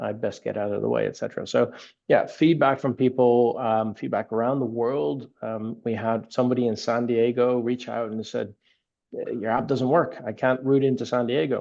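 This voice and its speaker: A man at medium pitch, moving at a moderate pace. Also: ordinary pitch variation. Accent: Dutch. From Netherlands. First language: Dutch. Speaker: app company founder. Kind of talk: podcast interview. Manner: repeats words, halting starts.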